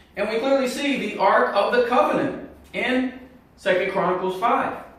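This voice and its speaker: A man talks at a fairly slow pace with lively intonation. Audible room echo and noticeable background noise surround him. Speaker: Bible prophecy video teacher. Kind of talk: Bible teaching monologue.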